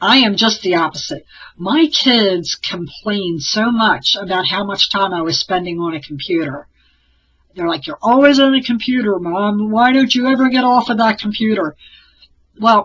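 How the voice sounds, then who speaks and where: At a moderate pace, a woman talks with lively intonation and medium pitch. Hers is a plain, everyday voice. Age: 60s. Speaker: crafter and online t-shirt seller. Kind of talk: casual vlog monologue. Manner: conversational, with fillers.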